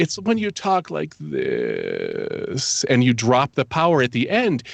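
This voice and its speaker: Putting on a character voice, a man speaks at a fairly slow pace in a croaky, creaky tone. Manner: power drops off at the end.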